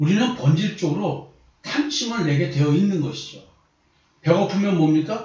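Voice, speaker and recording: Lively intonation with audible room echo. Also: man. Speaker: pastor and counselor. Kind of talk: sermon-style Bible teaching. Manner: trying to speak slowly.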